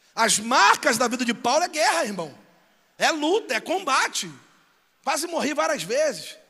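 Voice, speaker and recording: Against a quiet background, a man with an extremely high pitch uses a raised, projected voice that is bright, sharp and animated, with very wide pitch swings, a moderate pace and long, frequent pauses. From Brazil, São Gonçalo (Rio de Janeiro); Rio de Janeiro, Brazil. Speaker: pastor. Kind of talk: sermon. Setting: church with live audience. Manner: loud. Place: church. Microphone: handheld.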